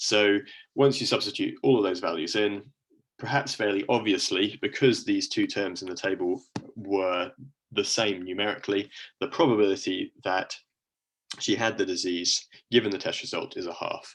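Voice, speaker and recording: In a British accent, a man talks at a moderate pace. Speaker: university lecturer. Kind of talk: lecture.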